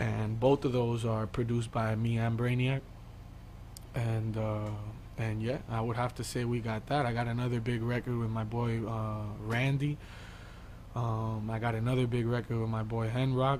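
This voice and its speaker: A man with an American accent speaks at a moderate pace in a medium pitch, his intonation flat and monotone, with audible room echo. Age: 20s. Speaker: music artist. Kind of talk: interview.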